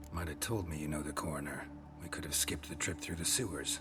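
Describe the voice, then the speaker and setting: Over loud background music, a man rattles along at a very fast pace in a put-on character voice. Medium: game stream. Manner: terse, clipped.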